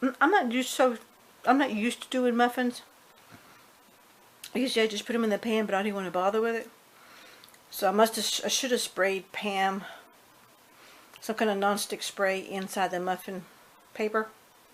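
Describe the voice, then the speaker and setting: With fairly even intonation and a fairly high pitch, a woman speaks at a moderate pace, leaving long, frequent pauses. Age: 60s. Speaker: home cooking video creator. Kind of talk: casual cooking tutorial. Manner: chatty, informal.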